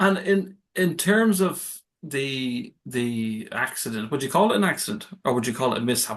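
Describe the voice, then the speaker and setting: Speaking at a moderate pace with hardly any pauses, this voice swings very widely in pitch, in an Irish accent. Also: man. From Ireland. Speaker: podcast host. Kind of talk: interview. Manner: halting.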